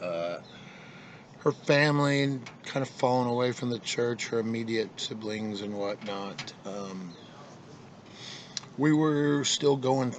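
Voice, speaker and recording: A man speaks at a medium pitch and a very slow pace, with long, frequent pauses over noticeable background noise. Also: ordinary pitch variation. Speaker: vlogger. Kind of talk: casual monologue. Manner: halting, many fillers.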